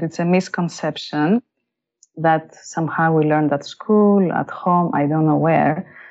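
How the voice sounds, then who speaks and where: Talking at a moderate pace, a woman speaks with a Greek accent. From Greece. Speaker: life and leadership coach. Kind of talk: interview.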